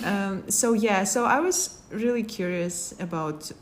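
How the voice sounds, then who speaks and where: The speaker is a woman. She talks with a Kazakh accent. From Kazakhstan. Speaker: international graduate student. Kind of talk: interview. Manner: halting, with many fillers.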